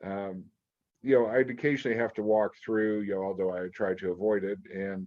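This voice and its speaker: A man's fairly low pitch and fairly quick pace, with fairly even intonation, in an ordinary speaking voice. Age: 60s. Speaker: podcast host. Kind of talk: interview.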